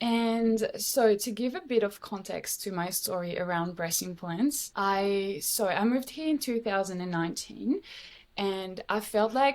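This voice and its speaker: A woman speaks at a medium pitch with a French accent. The recording is very clean, with a silent background. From France. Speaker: podcast guest sharing health story. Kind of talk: casual interview chat.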